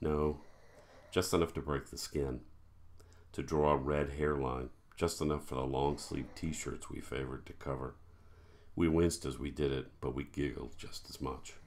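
A man speaks in a very deep, low voice with vocal fry and monotone, flat intonation. His pace is moderate, broken by long, frequent pauses. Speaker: horror author. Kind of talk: horror story reading; self-recorded author reading with casual intro. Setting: home recording. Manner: casual, self-deprecating, humorous intro. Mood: dark, measured narration. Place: home room. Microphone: webcam.

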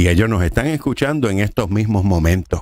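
A man talks in an animated tone with lively intonation. The sound is dry with no echo, over a quiet background. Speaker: preacher. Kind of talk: sermon. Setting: studio. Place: studio. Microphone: studio mic.

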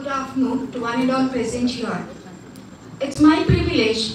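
The speaker's intonation stays fairly even, with audible room echo and light background noise. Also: woman. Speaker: assistant professor giving welcome. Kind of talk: formal welcome address. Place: hall.

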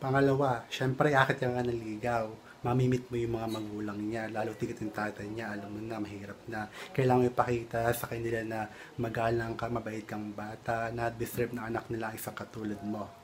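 A man talks at a fairly quick pace in a monotone, flat intonation. Light background noise sits behind him. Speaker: vlogger. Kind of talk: casual vlog chat with tips. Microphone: phone near.

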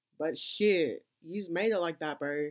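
The background stays quiet. A man talks in an Australian accent. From Sydney, Australia. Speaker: YouTuber reacting to music video. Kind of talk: casual reaction video commentary. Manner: animated. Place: home room. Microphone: earbuds.

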